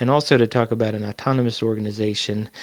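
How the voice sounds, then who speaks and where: A man speaks at a very fast pace with medium pitch. His intonation is monotone and flat. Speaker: community educator presenting a training session. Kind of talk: online presentation to a community group.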